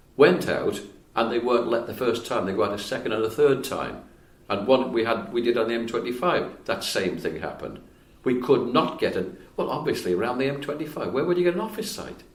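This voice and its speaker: A man talks at a fairly quick pace with lively intonation and medium pitch. Audible room echo surrounds his voice. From Wales. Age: 80s+. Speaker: retired civil engineer. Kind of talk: casual interview conversation.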